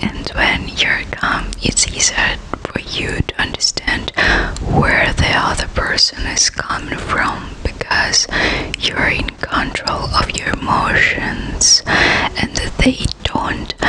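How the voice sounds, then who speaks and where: Very slow whispering comes through noticeable background noise. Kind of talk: ASMR whisper reading of self-help text. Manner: whispered.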